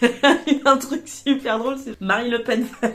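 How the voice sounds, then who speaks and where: An animated woman speaks at a high pitch over noticeable background noise. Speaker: vlogger. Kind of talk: casual chat. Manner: fast.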